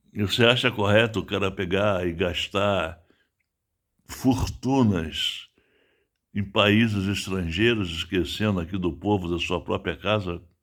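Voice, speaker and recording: Very slowly and at a fairly low pitch, a man speaks with ordinary pitch variation on a very clean recording with a silent background. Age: 70s. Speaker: writer and political commentator. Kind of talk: political monologue. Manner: animated.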